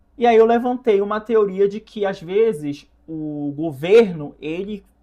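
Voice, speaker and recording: In a quiet background, a man speaks at a very slow pace. His pitch is high. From northern Brazil, Belém, Pará. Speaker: content creator. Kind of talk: casual commentary. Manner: halting, self-correcting.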